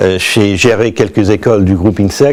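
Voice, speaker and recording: A man with an American accent is talking, and background noise is clearly audible throughout. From US, New York. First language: English (speaking French). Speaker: business school director. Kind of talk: promotional presentation. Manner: halting, many hesitations.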